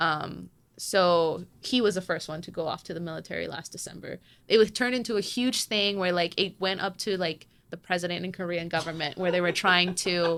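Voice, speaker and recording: With a Spanish accent, a woman speaks at a fairly low pitch and a fairly quick pace. Her intonation is fairly even, with big swings in loudness. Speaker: K-pop fan. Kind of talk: casual chat. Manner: hesitant, many fillers.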